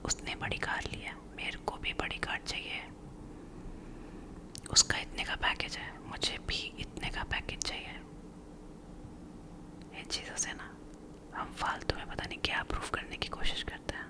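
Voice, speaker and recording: A woman whispers in a calm tone, with long, frequent pauses. Noticeable background noise runs underneath. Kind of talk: soft-spoken ASMR comfort talk. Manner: soft-spoken, slow, calm.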